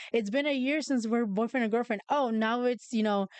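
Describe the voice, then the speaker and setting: A woman with a Spanish accent talks at a very fast pace with ordinary pitch variation. The sound is dry and close with no echo, and the background is quiet. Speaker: podcast host. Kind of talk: casual chat. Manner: halting.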